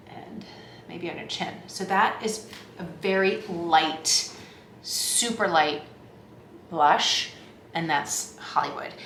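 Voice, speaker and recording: Amid noticeable background noise and audible room echo, a woman with a fairly low pitch and ordinary pitch variation speaks at a very slow pace, with long, frequent pauses and big swings in loudness. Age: 50s. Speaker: beauty vlogger. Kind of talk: tutorial. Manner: casual, chatty.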